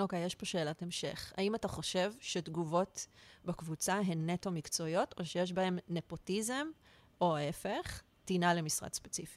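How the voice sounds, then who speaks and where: An unremarkable speaking voice moves at a moderate pace with ordinary pitch variation. The sound is dry and close, with no echo. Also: woman, fairly low pitch for a woman. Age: 40s. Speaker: art director acting as guest interviewer. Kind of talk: casual interview chat; reading a prepared opener aloud.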